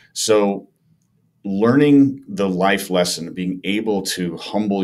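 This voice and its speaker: With a Chicago-area accent, a man speaks very slowly in a fairly low pitch with ordinary pitch variation. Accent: Chicago-area American English. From US Midwest (Chicago area). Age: 50s. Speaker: former pro baseball player and radio host; podcast guest. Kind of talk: casual interview. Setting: in-person in a small echoey room. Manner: animated storyteller. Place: studio. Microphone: studio mic.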